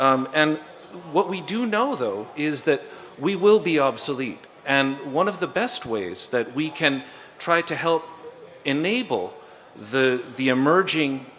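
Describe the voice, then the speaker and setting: A man with an American accent and a fairly high pitch speaks at a fairly slow pace with long, frequent pauses. His pitch swings very widely over noticeable background noise. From United States. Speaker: conference panelist, software developer. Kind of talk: conference talk. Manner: hesitant with fillers.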